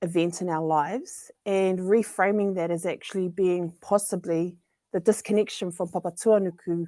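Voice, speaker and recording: Speaking at a moderate pace with a New Zealand accent, a woman uses a medium pitch and fairly even intonation against a quiet background. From New Zealand, central North Island. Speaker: social equity fellow. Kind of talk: panel discussion.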